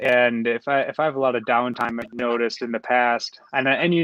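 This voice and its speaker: At a moderate pace, a man speaks with a medium-pitched voice. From United States. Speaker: professional triathlete. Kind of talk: interview. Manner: halting.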